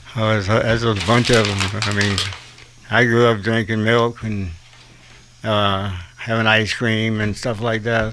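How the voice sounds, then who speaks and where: A man's fairly low, flat, monotone delivery with an American accent, fairly slow with long, frequent pauses, amid noticeable background noise and audible room echo. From US South, South Carolina. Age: 60s. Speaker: patient with Parkinson's. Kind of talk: radio interview.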